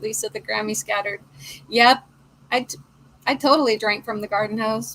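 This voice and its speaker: A woman's fairly high voice in an American accent, with lively intonation and noticeable background noise. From Portland. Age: 50s. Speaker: crochet livestream host. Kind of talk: casual chat.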